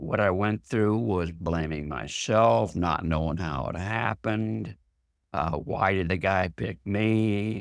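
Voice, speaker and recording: Speaking very slowly, a man with a very deep, low voice uses lively intonation, captured in a very clean recording with a silent background. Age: 70s. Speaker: author and mental health advocate. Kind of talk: interview testimony.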